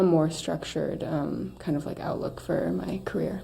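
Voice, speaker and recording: A woman speaks at a fairly slow pace. Room echo is audible, and background noise is noticeable. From small-town US, raised in an RV. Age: 20s. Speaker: multidisciplinary artist and performer. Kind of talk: casual interview chat.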